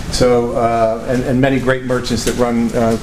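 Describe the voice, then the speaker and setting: Amid noticeable background noise and audible room echo, a man with an American accent speaks at medium pitch in a flat, monotone way. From Connecticut. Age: 60s. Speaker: entrepreneur and speaker. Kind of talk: talk to an audience. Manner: halting, many fillers.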